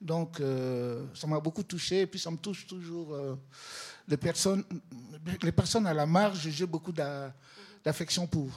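With long, frequent pauses, a man speaks at a fairly slow pace and a fairly high pitch, using ordinary pitch variation. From Congo (DRC). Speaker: photographer and social worker. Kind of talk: exhibition opening talk.

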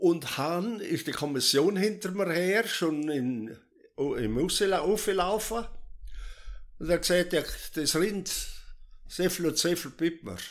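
A man speaks in a high pitch with lively intonation. He goes at a very slow pace, with long, frequent pauses. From South Tyrol. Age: 80s+. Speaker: retired farmer. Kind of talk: life story interview.

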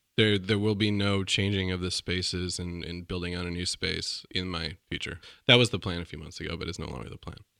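A man in an American accent, very deep and low in pitch with a bright, sharp tone, fairly even intonation, a fairly quick pace, hardly any pauses and big swings in loudness, on a very clean recording with a silent background. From Minnesota and rural California. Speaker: gallerist. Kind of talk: casual interview chat.

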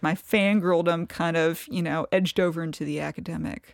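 A woman with a Kentucky accent, fairly low pitched, at a moderate pace, in a dry, close sound with no echo, on a very clean recording with a silent background. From eastern Kentucky, Appalachia. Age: 30s. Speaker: novelist. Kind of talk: interview conversation.

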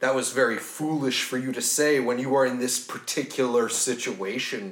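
Using a put-on character voice with some hissing, a man talks at a moderate pace and medium pitch with fairly even intonation. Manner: hissing, menacing.

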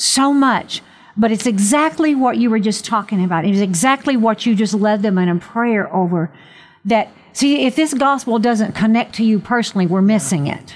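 Speaking at a moderate pace, a woman sounds animated and somewhat breathy, her fairly high voice carrying lively intonation. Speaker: religious radio host. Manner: animated, fervent.

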